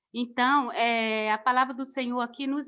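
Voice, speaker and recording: At a fairly slow pace, a woman with a high pitch talks with fairly even intonation. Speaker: missionary preacher. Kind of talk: sermon. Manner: halting.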